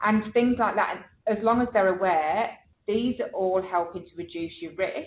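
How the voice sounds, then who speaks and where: A woman with an English accent talks at a moderate pace and medium pitch, with ordinary pitch variation and big swings in loudness. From England. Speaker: nurse educator. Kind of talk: webinar Q&A. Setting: online webinar.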